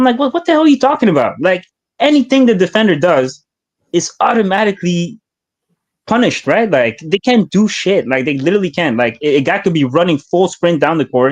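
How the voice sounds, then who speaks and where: At a fairly quick pace, the speaker talks in a French accent with very wide pitch swings and a dry, close sound with no echo. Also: man, high pitch for a man. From Canada, Hamilton, Ontario. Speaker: caller. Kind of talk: casual chat. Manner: animated.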